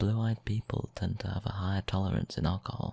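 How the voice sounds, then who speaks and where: The speaker is soft-spoken and talks at a moderate pace. The recording is very clean, with a silent background. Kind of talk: ASMR soft-spoken random facts.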